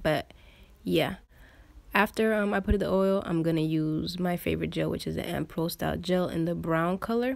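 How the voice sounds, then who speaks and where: A woman with a slight non-native accent at a moderate pace, on a very clean recording with a silent background. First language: not English. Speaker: beauty vlogger. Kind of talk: voiceover tutorial. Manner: casual.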